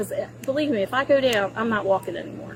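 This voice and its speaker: Over noticeable background noise, a woman's high, animated voice makes very wide pitch swings. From Baltimore, US. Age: 60s. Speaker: driver questioned by police. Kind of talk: police encounter.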